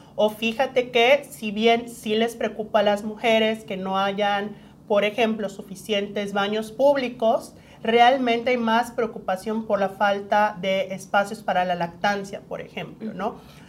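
Using a plain, everyday voice, a woman speaks at a fairly high pitch and a fairly slow pace with fairly even intonation. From Mexico, Yucatán. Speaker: human rights lawyer. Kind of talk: interview.

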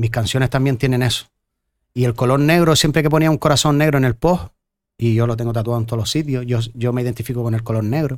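Talking at a very fast pace, a man is heard in a very clean recording with a silent background. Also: medium pitch for a man, ordinary pitch variation. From Canary Islands, Gran Canaria. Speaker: singer-songwriter. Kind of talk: casual chat.

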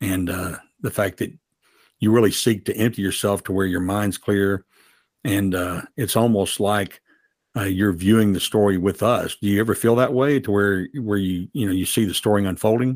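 This man has an unremarkable speaking voice, a fairly low pitch, fairly even intonation and a moderate pace, on a very clean recording with a silent background. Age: 60s. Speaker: podcast host. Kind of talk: interview.

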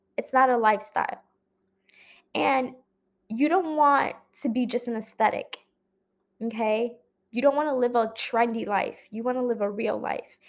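On a very clean recording with a silent background, a woman talks at a moderate pace in a high pitch. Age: 20s. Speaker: podcast host. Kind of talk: solo monologue podcast. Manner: casual with frequent fillers.

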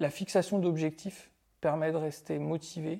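In a very clean recording with a silent background, a man speaks at a fairly high pitch in a dark, mellow tone. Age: 40s. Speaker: mental performance coach. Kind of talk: interview.

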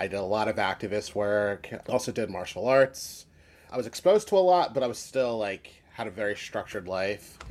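In an ordinary speaking voice, a man with an American accent talks at a fairly quick pace with a fairly low pitch and ordinary pitch variation, in a very clean recording with a silent background. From US, Philadelphia. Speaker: musician and podcaster. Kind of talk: casual interview.

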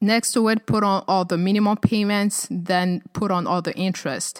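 A woman of medium pitch speaks at a moderate pace with a non-native accent in a very clean recording with a silent background. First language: not English. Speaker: personal finance podcast host. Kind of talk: solo podcast talk. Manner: frequent hesitations and fillers.

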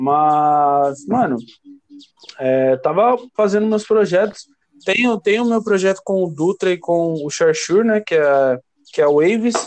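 A man talks at a fairly slow pace in a high voice with lively intonation. His loudness stays very even. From São Paulo, Brazil. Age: 20s. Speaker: DJ. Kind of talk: casual chat.

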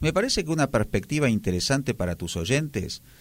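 A man with a Buenos Aires accent speaks with lively intonation. The recording is very clean, with a silent background. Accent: porteño Argentine Spanish. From Argentina, Buenos Aires. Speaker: literature lecturer. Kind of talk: radio interview. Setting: radio studio. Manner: formal.

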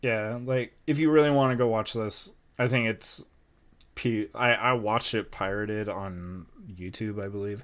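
A man talks in an ordinary speaking voice at medium pitch. His pitch variation is ordinary and his pace moderate. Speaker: podcast co-host. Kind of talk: casual chat.

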